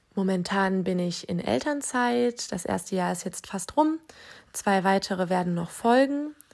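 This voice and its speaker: Her pitch medium and her pace fairly slow, a woman speaks with very wide pitch swings. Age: 20s. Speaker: parenting podcast host, new mother. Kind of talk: solo podcast monologue.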